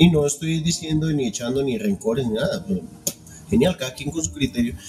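Noticeable background noise under a man talking at a very fast pace with very wide pitch swings. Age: 40s. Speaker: film podcast host, former metal musician. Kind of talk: casual chat. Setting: live stream.

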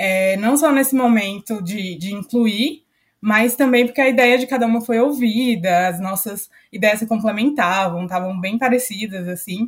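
Somewhat breathy, a woman talks at a moderate pace with a fairly high pitch and ordinary pitch variation. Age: 20s. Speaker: company trainee. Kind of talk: podcast interview.

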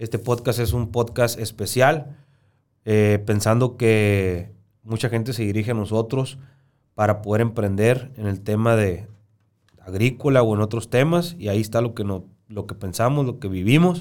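An unremarkable speaking voice from a man at medium pitch, moderately paced, with ordinary pitch variation. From Sonora, Mexico. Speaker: podcast host. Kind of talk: casual conversation. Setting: studio.

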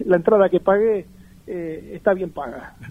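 A man is speaking. His pitch is high. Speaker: former professional footballer. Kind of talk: interview.

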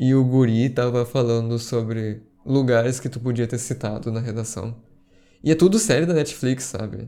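On a very clean recording with a silent background, a man with a dark, mellow tone talks at medium pitch and a moderate pace, with ordinary pitch variation. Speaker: history podcaster and streamer. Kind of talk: casual livestream chat. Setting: live stream recording.

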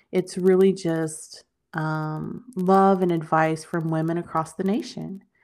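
On a very clean recording with a silent background, an ordinary speaking voice carries fairly even intonation. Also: woman. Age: 40s. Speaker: author and body positivity advocate. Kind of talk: casual interview.

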